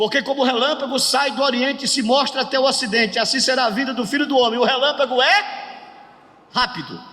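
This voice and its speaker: A man talks in a raised, projected voice at an extremely high pitch. Audible room echo and noticeable background noise surround him. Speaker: pastor teaching a workshop. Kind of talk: lecture.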